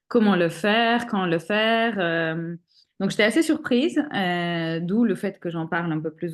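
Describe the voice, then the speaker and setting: This is a woman with an ordinary speaking voice. Her pitch rises and falls in an ordinary way. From Armenia. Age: 40s. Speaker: single mother sharing fertility journey. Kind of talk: interview testimony.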